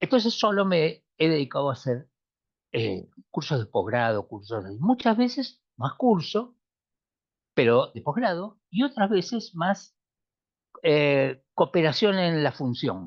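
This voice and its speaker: Very slow speech from a man with a fairly high pitch and very wide pitch swings, over a quiet background. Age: 70s. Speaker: economist and postgraduate lecturer. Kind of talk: lecture.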